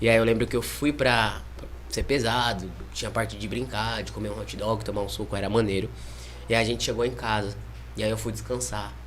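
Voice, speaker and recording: Through noticeable background noise and audible room echo, a man speaks with very wide pitch swings and long, frequent pauses. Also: fairly low pitch for a man. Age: 20s. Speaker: liver transplant patient, mission volunteer. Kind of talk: testimony.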